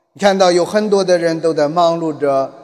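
A man speaks in a high pitch. Noticeable background noise accompanies him. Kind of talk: sermon. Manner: halting.

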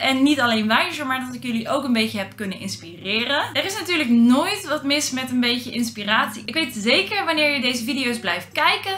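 Against light background noise, a woman speaks at a fairly quick pace in a raised, projected voice. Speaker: vlogger. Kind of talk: casual vlog chat. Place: home room.

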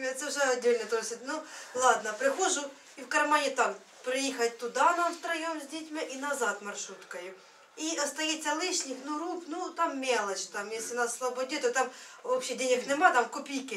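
A high-pitched woman's voice at a fairly slow pace, with light background noise. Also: ordinary pitch variation, big swings in loudness. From Ukraine. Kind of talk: testimony. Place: home room. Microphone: camera far.

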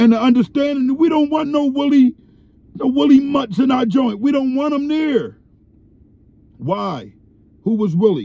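A man's dark, mellow tone, dry with no echo. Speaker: commentator. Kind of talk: commentary. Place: car. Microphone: phone near.

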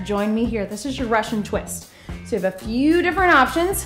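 Faint music in the background plays under a woman. She talks at a moderate pace. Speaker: fitness instructor. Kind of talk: workout instruction. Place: gym.

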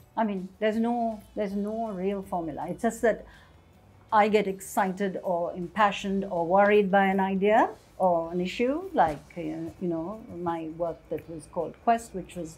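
Faint music plays in the background as a woman speaks. Her pace is moderate and her pitch variation ordinary. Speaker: interviewee. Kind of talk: interview answer. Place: workshop. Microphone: lapel.

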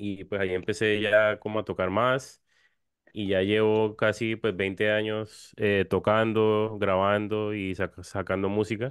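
A man talks very slowly at a fairly low pitch in a flat monotone. The sound is dry with no echo, and the background is quiet. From Cartagena, Colombia; Colombia. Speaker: musician; guest. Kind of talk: interview. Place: home room. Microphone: studio mic.

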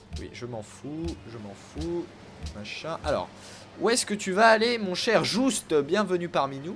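Over noticeable background noise, a man speaks fairly slowly at a high pitch, with long, frequent pauses, very wide pitch swings and big swings in loudness. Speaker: gaming YouTuber. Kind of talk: casual let's play commentary. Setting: online voice chat. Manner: animated.

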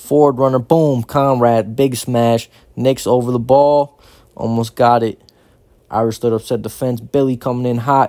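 A man with an American accent speaks at a moderate pace and medium pitch. His tone is dark and mellow, and his intonation is monotone and flat. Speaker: rugby match commentator. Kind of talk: live sports commentary over match footage.

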